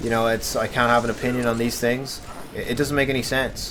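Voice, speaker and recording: With an Irish accent, a man at a medium pitch races along very fast against noticeable background noise. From Ireland. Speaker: gaming commentator. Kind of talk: casual chat. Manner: animated.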